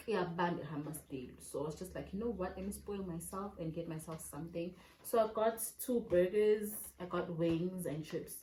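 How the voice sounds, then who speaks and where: A woman with a fairly low pitch talks at a moderate pace, her pitch varying in an ordinary way, while noticeable background noise sits behind her. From South Africa. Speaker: vlogger. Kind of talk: casual vlog talk to camera. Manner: animated.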